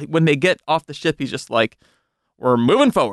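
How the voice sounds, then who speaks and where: Recorded dry and close with no echo, a man with a normal speaking voice talks at a fairly high pitch with lively intonation. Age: 30s. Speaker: entertainment editor and podcaster. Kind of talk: casual chat. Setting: studio.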